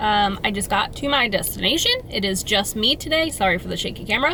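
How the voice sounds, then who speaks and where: A woman talks at a moderate pace in a fairly high pitch. Noticeable background noise can be heard. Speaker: vlogger and beer blogger. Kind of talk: casual vlog chat. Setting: quiet brewery tap room.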